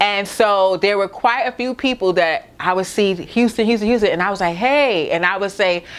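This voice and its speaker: With a Brooklyn accent, a woman talks at a moderate pace in a medium pitch, her tone upbeat and her intonation lively. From Brooklyn, New York. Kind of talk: casual talk to camera. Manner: upbeat, chatty.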